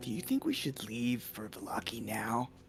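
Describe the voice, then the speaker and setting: Through clear background noise, a man at medium pitch does a put-on character voice at a moderate pace. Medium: actual play.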